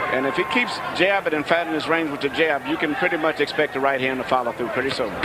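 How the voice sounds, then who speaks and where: A man's fairly high voice at a very fast pace, with ordinary pitch variation and noticeable background noise. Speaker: boxing color analyst. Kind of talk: live fight analysis. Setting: ringside at arena. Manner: admiring, technical explanation.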